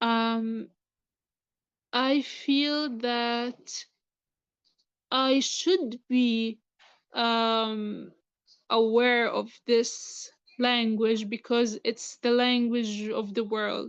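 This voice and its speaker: The speech moves at a very slow pace with long, frequent pauses. Intonation stays fairly even, in an Arabic accent. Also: woman, fairly high pitch for a woman. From Gaza, Palestine. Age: 20s. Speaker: student and writer. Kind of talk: interview. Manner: halting.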